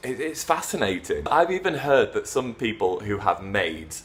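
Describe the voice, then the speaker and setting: In a British accent, a man speaks at a fairly slow pace. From England. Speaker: English teacher. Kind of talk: casual talk to camera.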